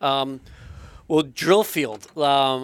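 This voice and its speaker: A man's medium-pitched voice is heard on a very clean recording against a silent background. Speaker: podcast co-host. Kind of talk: casual interview chat.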